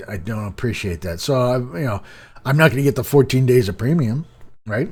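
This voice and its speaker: Lively intonation marks this man's somewhat breathy, medium-pitched voice. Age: adult, working. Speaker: gaming YouTuber. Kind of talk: casual gaming news commentary. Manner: halting, many repeats and fillers.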